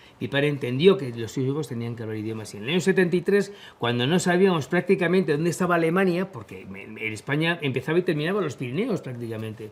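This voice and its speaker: A man at a fairly high pitch, very fast, with lively intonation and big swings in loudness. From Spain. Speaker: war correspondent. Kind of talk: interview.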